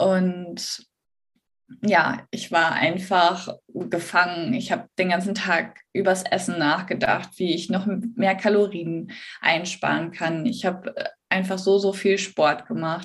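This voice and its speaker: At a very slow pace, a woman speaks in a somewhat breathy voice at a medium pitch with fairly even intonation. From northern Germany, Bremen. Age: 30s. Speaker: eating disorder recovery coach. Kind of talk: interview.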